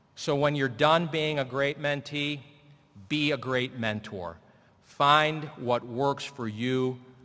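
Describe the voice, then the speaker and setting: At a very slow pace, a man speaks in a medium pitch with ordinary pitch variation. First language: Spanish. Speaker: commencement speaker, lawyer. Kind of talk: commencement speech. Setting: stage with audience.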